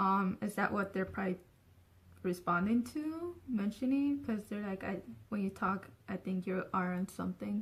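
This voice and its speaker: A woman's somewhat breathy, medium-pitched voice with ordinary pitch variation at a moderate pace. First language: Spanish. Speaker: vlogger. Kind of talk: casual vlog talk. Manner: filler-heavy, says so and um a lot.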